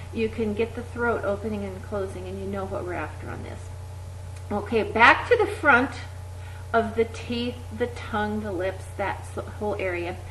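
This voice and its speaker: Over noticeable background noise, the speech moves at a moderate pace with long, frequent pauses. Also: woman. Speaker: exercise instructor. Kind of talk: voice exercise instruction. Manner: over-articulated.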